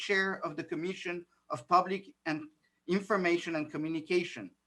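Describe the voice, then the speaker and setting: Someone speaks at a moderate pace with a slight French accent. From France and New York City. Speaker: political candidate. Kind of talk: candidate forum Q&A.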